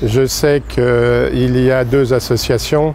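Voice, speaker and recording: Amid noticeable background noise, a man speaks very slowly in a monotone, flat intonation. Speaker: war veteran. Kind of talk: impromptu ceremony speech. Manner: halting.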